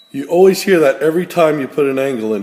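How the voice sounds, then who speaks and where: A man rushes along at a very fast pace, his pitch varying normally, with noticeable background noise behind him. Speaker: equipment trainer. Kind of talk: tutorial.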